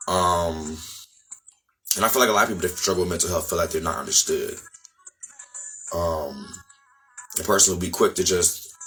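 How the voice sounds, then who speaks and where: Music plays in the background as a man speaks at a fairly quick pace, broken by long, frequent pauses. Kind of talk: casual talk to camera. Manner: fast.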